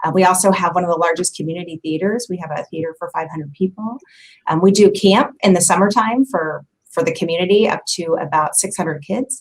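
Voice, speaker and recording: A woman speaks with a Midwestern US accent at medium pitch. Her pace is fairly quick. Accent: US Midwest. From Kansas City area. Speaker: community center staff member. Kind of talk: casual interview.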